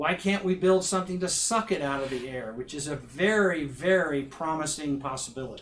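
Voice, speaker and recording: Talking at a fairly quick pace, a man has a plain, everyday voice with a fairly high pitch and ordinary pitch variation. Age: 60s. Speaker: minister and professor. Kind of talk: public talk Q&A.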